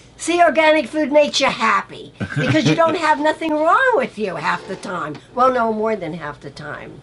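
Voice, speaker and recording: A woman speaks at a moderate pace with high pitch and hardly any pauses, over noticeable background noise. Her loudness swings a lot and her pitch swings very widely. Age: 70s. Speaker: chef's mother. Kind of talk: casual chat. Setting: on camera at home or studio, filmed.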